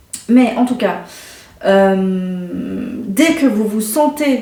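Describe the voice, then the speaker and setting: There is noticeable background noise and audible room echo. Over it, a woman speaks at a fairly high pitch. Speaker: intuitive card reader and energy healer. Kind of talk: card reading guidance. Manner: hesitant, many fillers.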